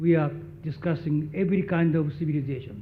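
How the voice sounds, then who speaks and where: A man's somewhat breathy voice at a fairly high pitch for a man and a moderate pace, with audible room echo. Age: 80s+. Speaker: graduation speaker, professor emeritus. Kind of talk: commencement speech. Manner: halting.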